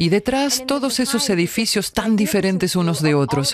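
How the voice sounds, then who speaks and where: A woman's voice swings very widely in pitch. Noticeable background noise sits behind her. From Canada. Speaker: tourist presenter. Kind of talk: travel vlog narration. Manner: animated.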